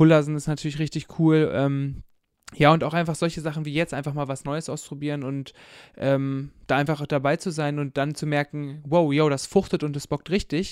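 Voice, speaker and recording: On a very clean recording with a silent background, a man speaks with monotone, flat intonation. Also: fairly high pitch for a man, moderate pace. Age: 20s. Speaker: theology student and church youth worker. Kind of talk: casual chat.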